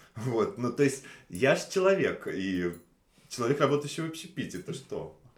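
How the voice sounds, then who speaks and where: A man speaks at a moderate pace with long, frequent pauses. His fairly high pitch swings very widely. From Russia, Nizhny Novgorod. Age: 30s. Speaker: waiter. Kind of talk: casual interview chat. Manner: hesitant, many fillers.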